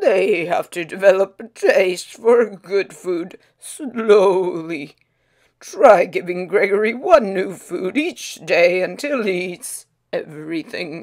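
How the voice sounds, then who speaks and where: A woman puts on a raspy character voice at medium pitch, speaking at a fairly slow pace with big swings in loudness. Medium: read story.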